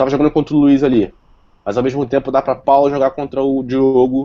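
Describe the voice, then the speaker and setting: A man talks very fast in a dark, mellow tone with monotone, flat intonation. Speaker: software developer presenter. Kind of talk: tech talk with live demo.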